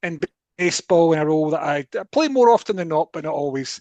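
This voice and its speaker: In a dry, close sound with no echo and a quiet background, a man uses a normal speaking voice at a moderate pace with ordinary pitch variation. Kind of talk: podcast discussion.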